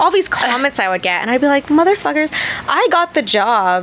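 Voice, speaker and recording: A woman speaks fairly quickly and in an animated tone, with noticeable noise in the background. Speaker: cosmetic tattoo artist and convention host. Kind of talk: casual interview chat. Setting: studio.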